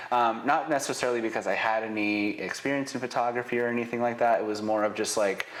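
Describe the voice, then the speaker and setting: A man speaks very fast while noticeable background noise carries on. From Israel, raised in Northern Nevada from childhood. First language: Hebrew. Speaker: business owner, real estate photographer. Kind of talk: interview.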